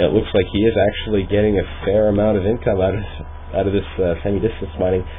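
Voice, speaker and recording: A man with a fairly low voice talks at a fairly quick pace over noticeable background noise. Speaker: amateur esports caster. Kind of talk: esports play-by-play commentary. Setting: home microphone recording.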